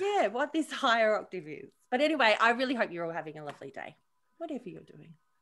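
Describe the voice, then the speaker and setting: The voice carries vocal fry and very wide pitch swings. It moves at a very fast pace. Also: woman, fairly high pitch for a woman, big swings in loudness. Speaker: podcast co-host; mother. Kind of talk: casual podcast conversation.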